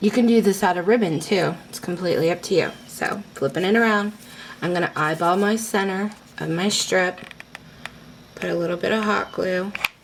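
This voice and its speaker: Over noticeable background noise, a woman speaks at medium pitch and a moderate pace. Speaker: crafting tutorial host. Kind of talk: tutorial. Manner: casual, filler words.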